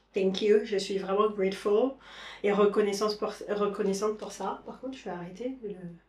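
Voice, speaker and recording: This woman's voice sits at a medium pitch, with monotone, flat intonation and big swings in loudness. She keeps a moderate pace over noticeable background noise. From Caribbean, Saint-Martin, Haitian origin. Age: 30s. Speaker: lifestyle vlogger. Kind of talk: casual vlog talk to camera. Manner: hesitant, many fillers.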